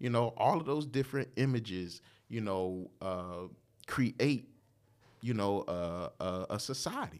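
In a very clean recording with a silent background, a man speaks fairly slowly with an American accent. He has an unremarkable speaking voice, a medium pitch and lively intonation. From Portsmouth, Virginia. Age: 40s. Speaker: father and former church minister of music. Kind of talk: casual chat.

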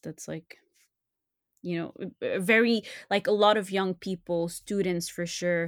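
Very slow speech in a Montreal accent comes across dry and close with no echo, on a very clean recording with a silent background. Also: woman. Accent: Montreal Canadian French-English. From Montreal, Canada. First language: French. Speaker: translator and podcaster. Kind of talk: casual interview chat. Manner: hesitant, many fillers.

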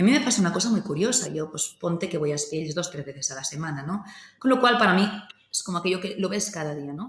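A woman's fairly low voice at a very fast pace, with lively intonation. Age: 30s. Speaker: winery CEO. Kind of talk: interview. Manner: halting.

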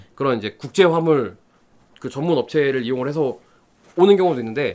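Lively intonation marks this man's speech. The recording is very clean, with a silent background. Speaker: hobbyist guest segment. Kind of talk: casual chat.

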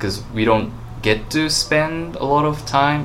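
A man speaks with a Japanese accent at a fairly slow pace, his pitch varying in an ordinary way. Noticeable background noise runs behind him. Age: 20s. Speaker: vegan YouTuber. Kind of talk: casual chat.

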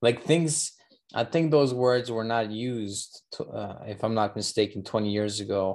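A man speaks in a plain, everyday voice at a moderate pace, with ordinary pitch variation against a quiet background. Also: medium pitch for a man. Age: 30s. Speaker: podcast host. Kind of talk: casual chat.

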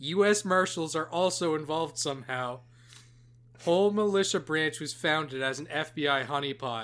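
Here a man speaks in a fairly high pitch at a moderate pace. His pitch variation is ordinary. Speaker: podcast co-host. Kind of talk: casual chat. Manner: halting, jumping word to word.

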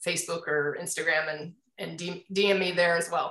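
With an American accent, a woman speaks at a moderate pace in a fairly low pitch, her intonation monotone and flat. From Indianapolis, US Midwest. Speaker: business coach and marketing consultant. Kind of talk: casual interview.

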